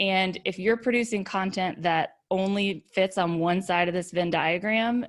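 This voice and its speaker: A woman's voice sits at a medium pitch with fairly even intonation. The recording is very clean, with a silent background. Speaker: thought leadership consultant. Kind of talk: presentation. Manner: fast.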